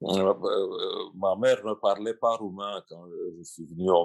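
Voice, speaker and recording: A man with a Russian accent speaks at a very slow pace in a dry, close sound with no echo. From Romania or Moldova, Russian mother and Romanian father. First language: Russian (speaking French). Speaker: translator and writer. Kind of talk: panel discussion. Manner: halting, many repetitions.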